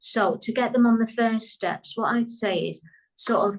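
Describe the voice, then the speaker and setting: The speaker talks at a fairly slow pace with a British accent. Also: woman. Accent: British accent, remarked as beautiful. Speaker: business coach. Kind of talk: interview.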